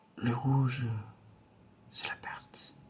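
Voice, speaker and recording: A man's very slow speech comes through noticeable background noise. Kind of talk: ASMR roleplay card reading, soft close-up talk to the viewer. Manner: soft-spoken, slow.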